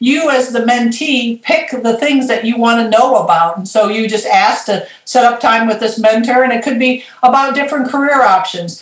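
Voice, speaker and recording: Noticeable background noise sits behind a woman with an American accent. She speaks at a moderate pace in a high pitch. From Michigan, Lansing. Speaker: consultant and life coach. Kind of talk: interview.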